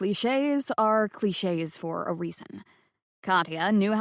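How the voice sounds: Heard against a quiet background, a natural reading voice moves with lively intonation.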